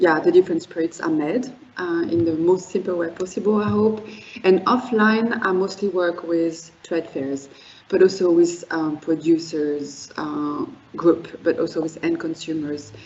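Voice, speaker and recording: Through noticeable background noise, a woman with a French accent talks at a fairly slow pace and a fairly low pitch. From France. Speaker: wine and spirits educator. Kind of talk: presentation. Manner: halting, many fillers.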